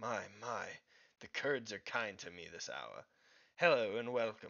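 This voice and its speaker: A booming, raspy, put-on character voice moves along at a fairly slow pace. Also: man, medium pitch for a man. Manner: bellowing, warmly welcoming.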